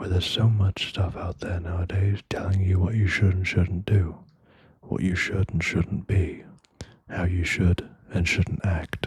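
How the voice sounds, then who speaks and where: Soft-spoken and somewhat breathy, a man speaks at a fairly slow pace in a very deep, low pitch with flat, monotone intonation. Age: young. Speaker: ASMR creator. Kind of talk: ASMR talk to listener. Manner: soft-spoken, slow.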